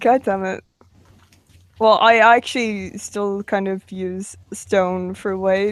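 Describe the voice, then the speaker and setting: In an Irish accent, a woman speaks at a very slow pace with monotone, flat intonation. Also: medium pitch for a woman. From Ireland. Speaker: live stream host. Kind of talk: casual chat. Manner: halting.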